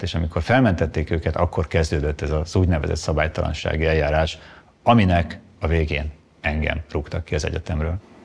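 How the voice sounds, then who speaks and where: A man speaks with a very deep, low pitch and a somewhat breathy voice. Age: 50s. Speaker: economist, former university lecturer; former university lecturer. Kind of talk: testimony. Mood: calm, measured, serious. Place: studio.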